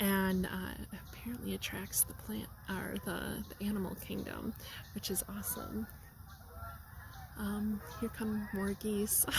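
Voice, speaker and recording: Long, frequent pauses break up the woman's fairly slow speech, with noticeable background noise behind her. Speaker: tarot card reader. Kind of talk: tarot reading. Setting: outdoors in a park. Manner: loud.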